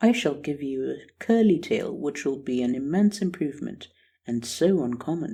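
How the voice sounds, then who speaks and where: This man puts on a character voice, pitched fairly high, and talks at a moderate pace. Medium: read story.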